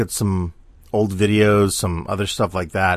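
In a very clean recording with a silent background, a man talks at a moderate pace and a fairly low pitch. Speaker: podcaster and artist. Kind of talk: solo monologue podcast. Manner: rambling, filler-heavy.

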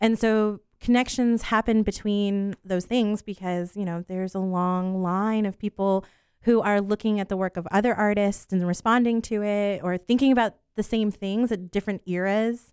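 In an American accent, a woman with an ordinary speaking voice talks at a moderate pace and medium pitch, her intonation fairly even and the sound dry and close with no echo. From Central Florida. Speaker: museum educator. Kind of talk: casual radio interview.

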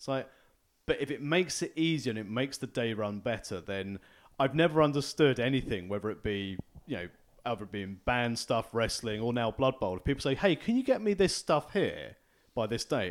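This man has an ordinary speaking voice at a medium pitch. His intonation is lively. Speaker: podcast host. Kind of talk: casual chat.

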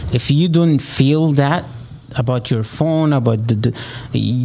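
Speaking at a fairly slow pace and medium pitch, a man talks in an Egyptian accent. Noticeable background noise is present. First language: Arabic. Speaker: real estate agent. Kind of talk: interview.

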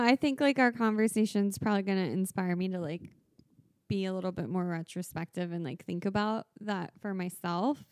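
A woman with a plain, everyday voice talks at moderate speed and medium pitch. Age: 20s. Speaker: friend and recurring guest. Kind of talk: casual chat.

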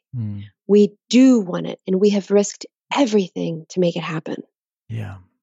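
With an American accent, a woman speaks at a moderate pace in a fairly low, somewhat breathy voice. Her pitch swings very widely. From Texas. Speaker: designer, author and painter. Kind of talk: interview.

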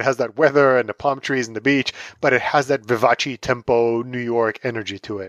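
The recording of this man is very clean and dry, close-up with no echo and a silent background. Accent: Israeli. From Israel, Tel Aviv. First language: Hebrew. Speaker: author and pop culture writer. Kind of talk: interview.

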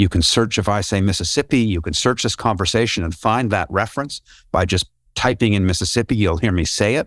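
Dry and close with no echo, on a very clean recording with a silent background, a man uses an ordinary speaking voice, fairly low-pitched with ordinary pitch variation, at a fairly quick pace. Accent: Canadian. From Canada, Toronto. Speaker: tech company founder and former broadcast journalist. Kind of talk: interview.

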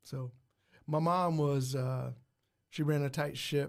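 A man with an American accent and a fairly high pitch, monotone and flat, on a very clean recording with a silent background. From Muncie, Indiana. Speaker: school principal and real estate investor. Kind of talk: casual interview chat.

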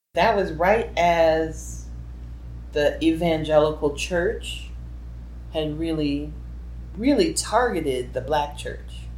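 Someone with an American accent talks at a very slow pace, leaving long, frequent pauses, and the room echo is audible. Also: woman. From New Orleans, US South. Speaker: activist and filmmaker. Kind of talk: oral history interview.

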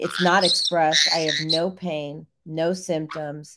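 A woman with an American accent speaks very slowly in a fairly low, bright and sharp voice. Her intonation stays flat and monotone. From US Midwest, Illinois. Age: 50s. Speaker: radio show host, nutrition. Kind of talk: casual interview chat.

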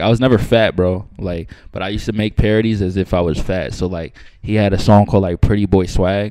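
Speaking very fast with an American accent, a man uses a very deep, low pitch and a dark, mellow tone with fairly even intonation. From Long Island, New York. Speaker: rapper. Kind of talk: casual interview. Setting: studio.

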